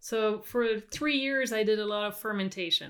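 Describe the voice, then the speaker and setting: In a very clean recording with a silent background, a woman with a French accent talks at a fairly slow pace, fairly high in pitch, with ordinary pitch variation. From Quebec. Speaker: farmer and winemaker. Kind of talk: casual interview chat.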